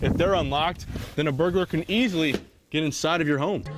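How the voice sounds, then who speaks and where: Music plays in the background as a man talks at a very fast pace. His voice is fairly high, with ordinary pitch variation and very even loudness. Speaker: TV news reporter. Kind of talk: TV news report.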